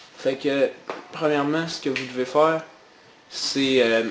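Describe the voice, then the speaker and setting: A man's medium-pitched voice with a Quebec accent and fairly even intonation, music in the background. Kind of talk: casual gaming tutorial voice-over. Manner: casual, hesitant.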